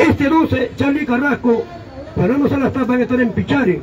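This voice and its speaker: With crowd noise in the background, a man speaks at a moderate pace. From Peru, Ancash. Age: 70s. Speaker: political commentary show host. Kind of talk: political talk show. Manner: animated.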